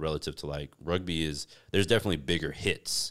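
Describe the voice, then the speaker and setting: A man speaks very fast in a very deep, low pitch. The recording is very clean, with a silent background. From United States. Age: 30s. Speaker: fitness entrepreneur. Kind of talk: casual chat. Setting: in-person home recording setup.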